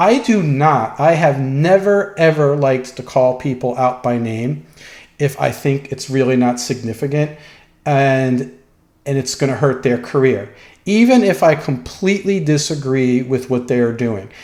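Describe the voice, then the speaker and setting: A man speaks at a medium pitch and a moderate pace, with ordinary pitch variation. The room echo is audible. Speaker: dog trainer. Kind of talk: lecture. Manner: hesitant, with fillers.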